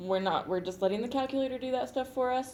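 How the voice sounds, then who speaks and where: There is audible room echo around this woman, whose pitch varies in an ordinary way. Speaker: math teacher. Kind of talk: classroom lecture. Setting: classroom. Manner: loud; casual.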